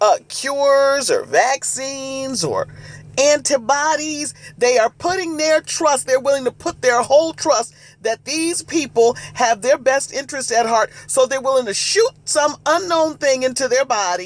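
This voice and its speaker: A loud, shouting man at an extremely high pitch, with ordinary pitch variation and a fairly slow pace. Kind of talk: preaching monologue. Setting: live video stream. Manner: loud, like yelling.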